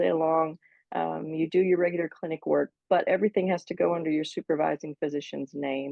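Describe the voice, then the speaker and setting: A woman with a plain, everyday voice, a fairly low pitch, ordinary pitch variation and a moderate pace. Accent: American. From United States. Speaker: physician associate. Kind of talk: interview.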